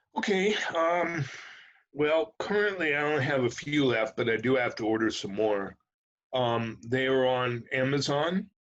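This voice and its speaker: A man's plain, everyday voice at a medium pitch, with lively intonation. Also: fairly slow pace. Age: 60s. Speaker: musician in recovery. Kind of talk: casual interview.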